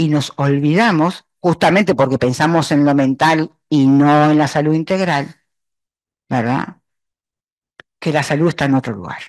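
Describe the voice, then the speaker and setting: A woman speaks with a very deep, low pitch and ordinary pitch variation. Her pace is fairly slow, with long, frequent pauses. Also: quiet background. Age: old. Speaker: retired psychology professor. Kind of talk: academic presentation. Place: classroom.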